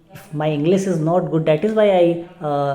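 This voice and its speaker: Audible room echo fills the space around a woman. Her very deep, low voice moves at a fairly slow pace with fairly even intonation. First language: not English. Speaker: English learner vlogger. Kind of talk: casual vlog monologue. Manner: halting, many fillers and repeats.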